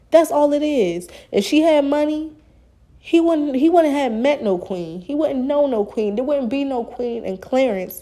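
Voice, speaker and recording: A woman speaks with a high pitch and a dark, mellow tone. Her intonation is lively, and her pace is fairly slow. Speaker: YouTube commentator. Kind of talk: casual reaction commentary.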